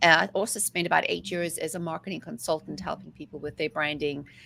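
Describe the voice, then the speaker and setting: In a South African accent, a woman talks at a fairly quick pace with ordinary pitch variation. Her voice is fairly low, with a bright, sharp tone. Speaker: mindset coach. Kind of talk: interview. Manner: talkative.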